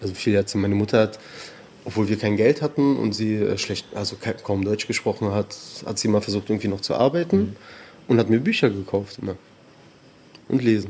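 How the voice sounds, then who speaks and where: A man with a dark, mellow tone sounds somewhat breathy. He talks at a fairly quick pace, with long, frequent pauses. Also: fairly low pitch for a man, ordinary pitch variation. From Berlin, Germany (born in Tehran). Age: 30s. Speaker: anti-racism trainer. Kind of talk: casual interview.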